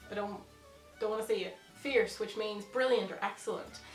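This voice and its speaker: A fairly high-pitched woman's voice with a Northern Irish accent, music playing in the background. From Northern Ireland. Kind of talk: casual talk to camera.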